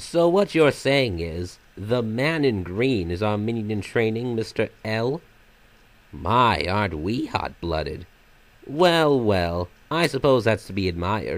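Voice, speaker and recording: A man's put-on character voice, medium in pitch and at a fairly slow pace. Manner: sometimes silly, sometimes sinister; theatrical, mocking, playful.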